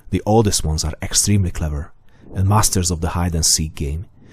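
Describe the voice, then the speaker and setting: Somewhat breathy with a dark, mellow tone, a man speaks at a fairly quick pace. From Hungary. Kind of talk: scripted narration.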